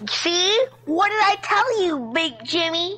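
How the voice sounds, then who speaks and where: She puts on a character voice that sounds female, pitched extremely high for a woman and delivered at a fairly slow pace. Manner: whiny, demanding.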